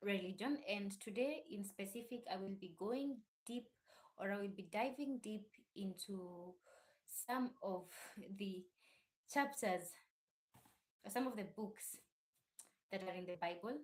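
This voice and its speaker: A woman's somewhat breathy, medium-pitched voice at a fairly slow pace, with ordinary pitch variation and long, frequent pauses. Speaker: YouTube channel host discussing religion. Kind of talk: casual live stream talk. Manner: uneven volume.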